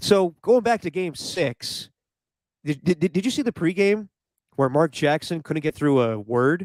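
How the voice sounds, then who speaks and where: In a dry, close sound with no echo, a man talks fairly slowly at a high pitch with lively intonation. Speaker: podcast co-host. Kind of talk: casual chat.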